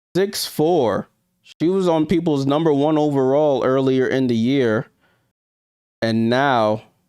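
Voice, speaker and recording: A man speaks at a very slow pace and medium pitch, with a dark, mellow tone. The recording is very clean, with a silent background. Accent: New York. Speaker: sports YouTuber. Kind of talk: live stream watchalong commentary. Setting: live stream. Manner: casual, conversational.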